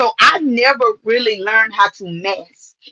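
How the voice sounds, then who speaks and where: With a Louisiana accent, a woman speaks at a fairly high pitch in a bright, sharp tone with ordinary pitch variation. The sound is dry and close, with no echo. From Louisiana, rural. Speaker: model and actress. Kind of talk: casual interview chat.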